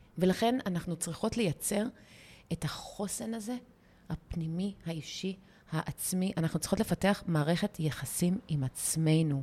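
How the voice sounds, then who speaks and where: A woman's fairly low, somewhat breathy voice, dark and mellow in tone, with ordinary pitch variation and a fairly slow pace. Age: 40s. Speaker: podcast host, women's mindset coach. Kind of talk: casual chat.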